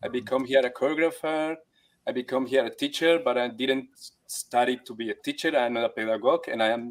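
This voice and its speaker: A man speaks with a Colombian accent. His intonation stays fairly even. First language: Spanish. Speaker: actor, dancer and teacher. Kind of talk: online workshop interview. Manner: halting.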